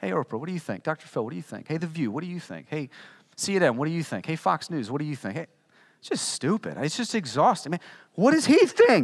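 With an American accent and vocal fry, someone talks at a very fast pace in an animated tone, with very wide pitch swings and big swings in loudness, on a very clean recording with a silent background. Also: man, fairly high pitch for a man. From Virginia, US. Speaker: pastor. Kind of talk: sermon. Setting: church.

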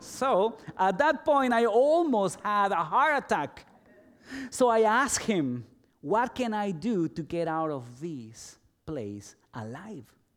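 A man with a Spanish accent talks at a very slow pace in a high pitch, with very wide pitch swings. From El Salvador. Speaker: pastor. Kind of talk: sermon.

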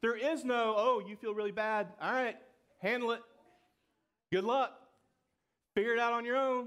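A man with a Southern US accent speaks at an extremely high pitch and a moderate pace. His intonation is fairly even, with long, frequent pauses. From Georgia, US. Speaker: pastor. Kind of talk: sermon.

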